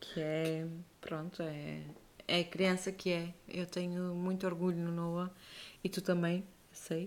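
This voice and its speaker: A woman's fairly low, monotone voice at a very slow pace, with long, frequent pauses and flat intonation. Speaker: podcast co-host and mother. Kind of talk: casual chat.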